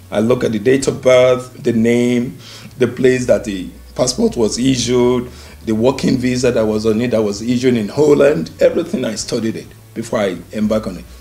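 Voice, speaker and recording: Someone with a Nigerian accent speaks at a moderate pace with fairly even intonation. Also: man, medium pitch for a man. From Nigeria (Yoruba). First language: Yoruba. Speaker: immigrant sharing life story. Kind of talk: interview.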